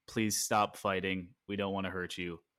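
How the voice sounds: Using a put-on character voice, a man talks fairly slowly in a very deep, low, monotone, flat delivery, recorded very cleanly against a silent background.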